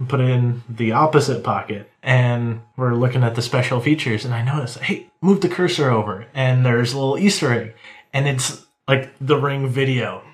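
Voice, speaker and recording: In a somewhat breathy voice, a man talks at a moderate pace, his pitch shifting in an ordinary way. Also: medium pitch for a man. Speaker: co-host. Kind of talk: casual chat.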